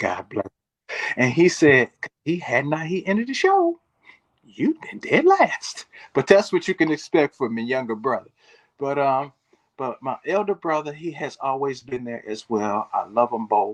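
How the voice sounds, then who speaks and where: A normal speaking voice from a man with an American accent, fairly high in pitch, with lively intonation at a moderate pace and a dry, close sound with no echo. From Michigan, US Midwest. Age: 60s. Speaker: bodybuilder. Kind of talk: interview.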